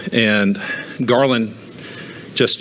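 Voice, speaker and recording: A man talks at a fairly low pitch with fairly even intonation. Background noise is noticeable. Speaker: financial adviser testifying as witness. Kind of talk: testimony. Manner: fast.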